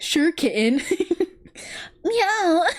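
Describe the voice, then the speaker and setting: An extremely high-pitched, put-on character voice fills the clip. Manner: smooth, affectionate, meowing on request.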